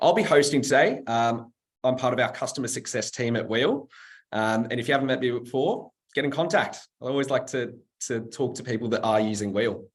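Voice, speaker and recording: Speaking at a fairly quick pace with a Sydney accent, a man keeps a medium pitch with ordinary variation. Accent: Australian (Western Sydney). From Australia, Western Sydney. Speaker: webinar host, customer success staff. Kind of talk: panel webinar hosting. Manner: casual, filler-heavy.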